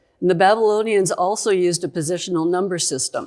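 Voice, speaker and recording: On a very clean recording with a silent background, a woman speaks at a fairly quick pace in an ordinary speaking voice with ordinary pitch variation. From Canada (Saskatchewan). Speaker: geologist. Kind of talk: conference presentation, educational lecture. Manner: conversational, lively.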